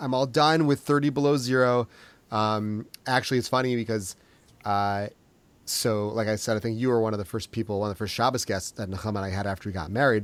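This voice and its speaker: On a very clean recording with a silent background, a man speaks at a very fast pace in a medium pitch with ordinary pitch variation. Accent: slight Minnesota. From Minnesota, US. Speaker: podcast host. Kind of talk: casual interview chat.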